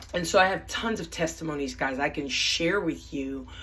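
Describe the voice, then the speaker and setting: An animated, fairly low-pitched woman's voice with audible room echo and noticeable background noise. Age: 60s. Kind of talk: casual video introduction. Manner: halting.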